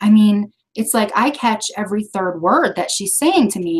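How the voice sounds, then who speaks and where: At a moderate pace, a woman talks at a medium pitch in an unremarkable speaking voice. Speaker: training presenter. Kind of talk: training lecture. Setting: video conference.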